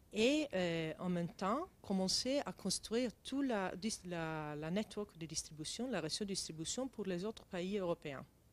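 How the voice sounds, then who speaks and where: A woman with an Italian accent and a medium pitch speaks at a fairly slow pace with lively intonation and hardly any pauses. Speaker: tech company CEO. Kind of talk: interview. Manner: halting, many hesitations.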